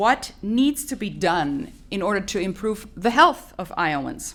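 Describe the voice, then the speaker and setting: A woman speaks at a moderate pace. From Colombia. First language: Spanish. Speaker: environmental advocacy coordinator. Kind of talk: press conference opening remarks. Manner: formal.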